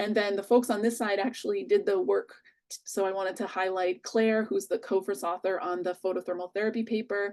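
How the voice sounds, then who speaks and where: A woman uses an ordinary speaking voice at a medium pitch and a fairly quick pace. Her pitch varies in an ordinary way over a quiet background. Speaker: physician-scientist, researcher. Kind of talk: conference presentation and Q&A.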